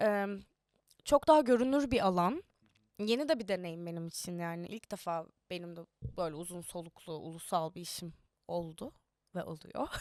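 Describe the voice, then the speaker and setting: Her pitch fairly low and her intonation lively, a woman speaks at a moderate pace with long, frequent pauses. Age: young. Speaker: actress. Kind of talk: casual interview chat. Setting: studio.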